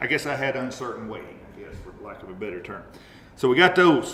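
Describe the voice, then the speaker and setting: Audible echo from the room surrounds this man as he talks. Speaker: Sunday school teacher. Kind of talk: Bible study lesson. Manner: halting.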